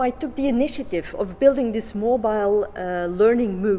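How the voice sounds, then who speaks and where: A woman talks with a non-native accent at a moderate pace. Her intonation is lively. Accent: non-native English speaker. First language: Flemish. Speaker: education researcher. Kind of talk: conference presentation. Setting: conference. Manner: halting, with many fillers.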